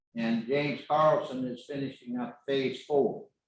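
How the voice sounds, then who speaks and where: Here a man speaks with an Arkansas accent. His pace is fairly slow, and his pitch varies in an ordinary way. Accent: Southern US (Arkansas). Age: 80s+. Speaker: local developer addressing the council. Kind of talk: public comment at council meeting. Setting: city council meeting.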